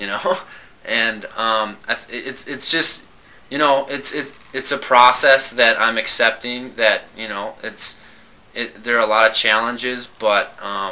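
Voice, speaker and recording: Over noticeable background noise, a man at a medium pitch talks at a fairly slow pace with fairly even intonation. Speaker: stuttering program participant, engineer. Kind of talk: casual chat. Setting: podcast recorded at a convention. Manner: stuttering.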